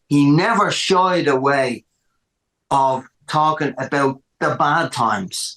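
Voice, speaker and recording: In a Dublin accent, a man speaks at a very slow pace with very even loudness. His pitch is fairly high and varies in an ordinary way. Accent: Dublin Irish. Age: 60s. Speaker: rock musician. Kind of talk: podcast interview. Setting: music room at home.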